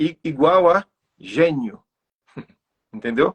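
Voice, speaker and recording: A man's high voice at a very slow pace, with ordinary pitch variation and a dry, close sound with no echo. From Sertão of Bahia, Brazil. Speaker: poet. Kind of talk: online interview. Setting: livestream. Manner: halting, with fillers.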